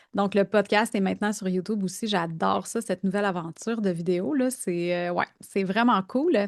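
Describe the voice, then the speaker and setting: In a dry, close sound with no echo and a quiet background, a woman with a medium pitch and ordinary pitch variation speaks at a moderate pace with hardly any pauses. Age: 40s. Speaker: business coach and podcast host. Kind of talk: casual interview. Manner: hesitant, many fillers.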